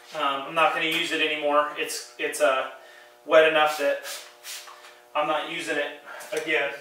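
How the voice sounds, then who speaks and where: A man speaks at a moderate pace in a fairly high pitch with monotone, flat intonation and long, frequent pauses. Noticeable background noise and audible room echo surround him. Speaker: car detailing YouTuber. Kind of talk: tutorial. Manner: loud; casual, hesitant with fillers.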